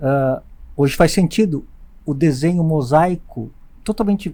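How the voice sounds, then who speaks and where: The tone is dark and mellow. The pace is moderate. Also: man. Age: 60s. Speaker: eye surgeon and teacher. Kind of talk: podcast interview. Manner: halting.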